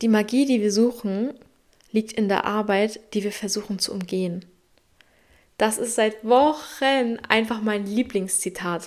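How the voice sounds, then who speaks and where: A woman with a fairly high pitch speaks fairly slowly with fairly even intonation and long, frequent pauses. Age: 20s. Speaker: podcast host. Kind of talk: motivational monologue. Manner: direct, emphatic.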